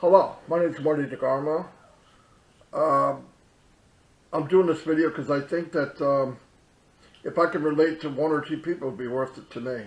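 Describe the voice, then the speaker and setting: At a moderate pace with long, frequent pauses, a man speaks at a fairly high pitch, his intonation fairly even and his loudness swinging widely. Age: 60s. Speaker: online business promoter. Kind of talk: personal testimony. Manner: halting, many fillers.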